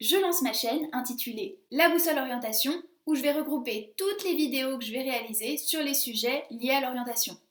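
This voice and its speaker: A woman with a high pitch speaks at a moderate pace. Her intonation is lively. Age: 20s. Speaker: YouTuber giving study and career advice. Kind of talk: casual vlog monologue.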